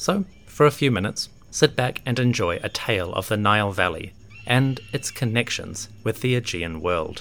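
Lively intonation in a plain, everyday voice, from a man at medium pitch and a moderate pace. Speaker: podcast host. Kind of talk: history documentary narration. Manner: measured, storytelling; clear, formal.

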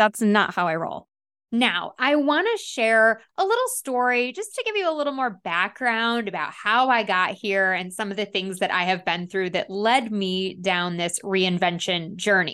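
Energetic and lively in intonation, a woman's fairly high, bright, sharp voice moves at a fairly slow pace over a quiet background. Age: middle-aged. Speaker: podcast host and life coach. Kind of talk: solo podcast monologue.

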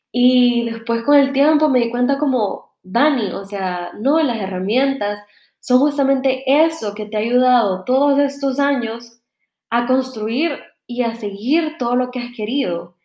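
A dark, mellow tone at a fairly slow pace. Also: woman, high pitch for a woman, ordinary pitch variation. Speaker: podcast host. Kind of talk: casual monologue. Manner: animated.

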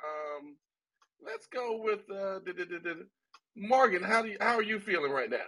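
A man speaks in a raised, projected voice at a high pitch and a moderate pace, with lively intonation and a bright, sharp tone. His loudness swings widely, and he takes long, frequent pauses. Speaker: host of live book reading event. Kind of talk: live moderated chat room, giving feedback. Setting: live audio chat room, online.

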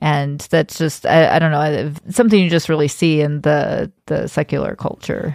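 A woman with a very deep, low pitch speaks at a moderate pace with hardly any pauses. Her intonation is fairly even. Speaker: podcast host. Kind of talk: casual religious discussion.

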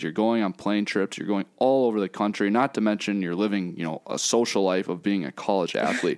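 In a normal speaking voice, a man talks at a fairly quick pace and fairly low pitch with ordinary pitch variation, the sound dry and close with no echo. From Minnesota (Minnetonka). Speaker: college sports podcast co-host. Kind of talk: casual podcast chat.

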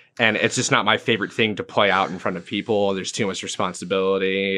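This man has an American accent. His tone is bright and sharp. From England and US, military family. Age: 20s. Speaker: musician and bartender. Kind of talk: casual chat.

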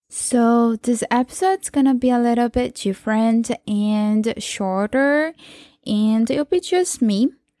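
With a Portuguese accent, a woman speaks fairly slowly at a fairly high pitch in a dark, mellow tone, her loudness very even, the sound dry and close with no echo on a very clean recording with a silent background. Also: ordinary pitch variation. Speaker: podcast host. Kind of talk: solo podcast monologue. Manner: casual, with frequent laughs and fillers.

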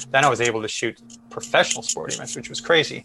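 With an American accent, a man talks at medium pitch against noticeable background noise. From US Midwest, Chicago. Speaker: photojournalist. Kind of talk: interview conversation.

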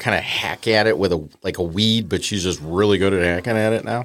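A man's fairly low voice moves at a moderate pace with ordinary pitch variation. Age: 40s. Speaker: podcast guest. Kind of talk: casual chat. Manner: animated.

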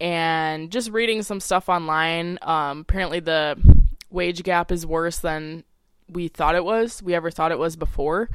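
This woman has an ordinary speaking voice, fairly low in pitch. She talks at a fairly slow pace with fairly even intonation. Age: 20s. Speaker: podcast host and activist. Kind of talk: solo monologue podcast. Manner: casual with many filler ums.

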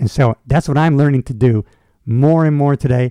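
This man has a fairly high pitch and an animated tone, with ordinary pitch variation at a moderate pace. The sound is dry and close, with no echo. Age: 60s. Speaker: motivational podcast host. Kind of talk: solo monologue.

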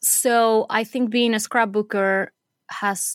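A woman with a Spanish accent speaks very slowly in a fairly high voice, recorded dry and close with no echo, very clean, over a silent background. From Venezuela. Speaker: scrapbooking artist and teacher. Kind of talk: casual interview.

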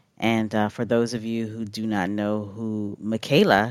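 Over a silent background in a very clean recording, a woman speaks at a very slow pace with a very deep, low pitch and fairly even intonation. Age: 40s. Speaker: podcast host. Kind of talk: solo podcast commentary. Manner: casual, with frequent fillers and laughs.

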